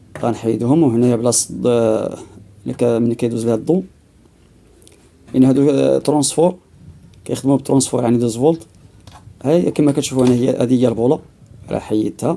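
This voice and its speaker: In a Moroccan accent, a man speaks fairly quickly with long, frequent pauses. His medium-pitched voice has a dark, mellow tone and ordinary pitch variation. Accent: Moroccan Darija. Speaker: DIY repair video maker. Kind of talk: tutorial. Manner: halting, many fillers.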